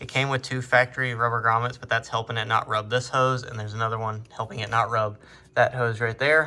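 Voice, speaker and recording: Bright and sharp in tone, a man talks at a very fast pace in a medium pitch with monotone, flat intonation. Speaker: automotive mechanic vlogger. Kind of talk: tutorial; casual vlog chat.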